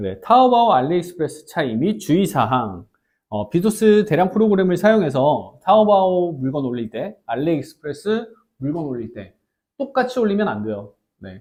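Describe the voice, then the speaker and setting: Speaking at a moderate pace, a man with a high pitch uses very wide pitch swings and big swings in loudness. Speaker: online business instructor. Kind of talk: tutorial. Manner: hesitant, many fillers.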